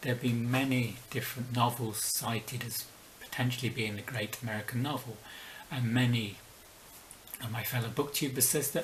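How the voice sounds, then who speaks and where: There is audible room echo as a man speaks at medium pitch and a moderate pace. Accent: slight London. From southern England (Slough, near London). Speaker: book vlogger. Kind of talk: video essay.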